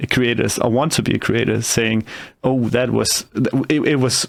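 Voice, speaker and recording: Recorded very cleanly with a silent background, a man talks with a non-native accent. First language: not English. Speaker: podcast host and YouTube creator. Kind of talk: interview podcast. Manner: halting, many fillers and restarts.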